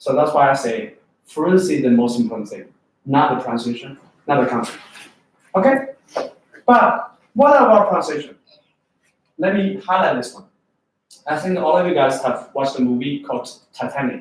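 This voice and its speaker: With a strong Chinese accent, a man speaks at a fairly high pitch with big swings in loudness and long, frequent pauses, amid audible room echo. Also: lively intonation, moderate pace. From China. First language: Chinese (Mandarin). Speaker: English test prep teacher. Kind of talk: lecture. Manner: animated.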